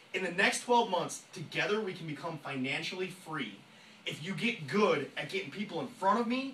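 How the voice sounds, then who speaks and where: With noticeable background noise and audible room echo, a man talks in an animated tone with lively intonation. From rural area. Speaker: network marketing trainer. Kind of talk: motivational sales training talk. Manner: fast.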